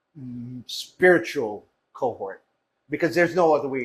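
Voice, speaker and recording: Somewhat breathy, a man with a Jamaican accent speaks at a fairly slow pace. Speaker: food business founder. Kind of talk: interview storytelling. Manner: animated.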